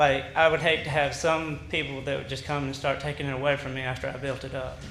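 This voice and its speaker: A man's fairly high voice in an Alabama accent, very fast and monotone, with audible room echo and music in the background. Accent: Southern US (Alabama). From US South. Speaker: resident speaking at public hearing. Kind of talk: public comment. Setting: city council meeting. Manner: halting.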